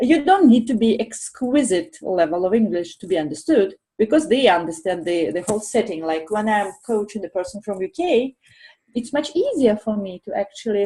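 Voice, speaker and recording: A woman with a Russian accent, somewhat breathy and dark, mellow in tone, her pitch fairly high and her intonation lively, at a moderate pace. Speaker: professional coach. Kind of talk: panel discussion. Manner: carefully articulated.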